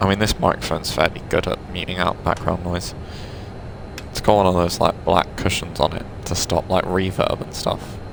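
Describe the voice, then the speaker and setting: The man's voice has a very deep, low pitch and a monotone, flat intonation. Noticeable background noise is present. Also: moderate pace. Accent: British. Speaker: gaming video creator. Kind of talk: gameplay commentary. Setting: home recording room. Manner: casual, chatty.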